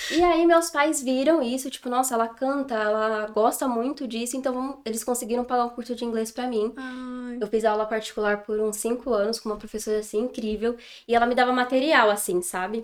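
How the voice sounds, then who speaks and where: A woman speaks at a fairly quick pace with hardly any pauses, her high pitch held in fairly even intonation. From São Paulo state, Brazil. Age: 20s. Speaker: English teacher. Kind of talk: casual interview chat.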